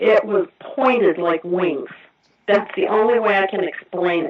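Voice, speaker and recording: A woman speaks with an American accent. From Indiana. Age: 60s. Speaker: eyewitness caller. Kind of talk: testimony.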